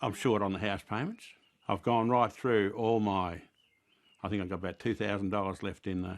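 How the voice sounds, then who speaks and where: Delivered in an Australian accent at a moderate pace, the intonation stays fairly even. The background is quiet. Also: man, fairly low pitch for a man. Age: 60s. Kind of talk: news interview.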